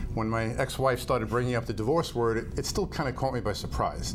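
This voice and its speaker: With a New York accent, this speaker talks at a fairly quick pace and with fairly even intonation, over noticeable background noise and audible room echo. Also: man. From Long Island, New York. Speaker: optometrist. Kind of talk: interview. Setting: studio.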